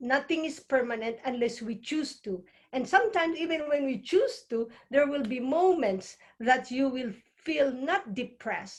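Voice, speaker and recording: A woman speaks at a moderate pace in a high pitch, her intonation lively. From Philippines. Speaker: nurse and holistic healer. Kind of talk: interview conversation. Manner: stutter.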